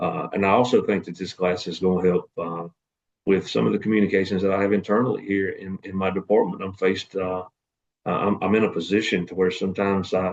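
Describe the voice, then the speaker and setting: A man with a Southern US accent and a very deep, low pitch talks at a very fast pace with fairly even intonation. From North Carolina, US South. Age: 40s. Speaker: assistant fire chief and student. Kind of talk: class self-introduction video. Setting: at work in fire station. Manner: hesitant, many fillers.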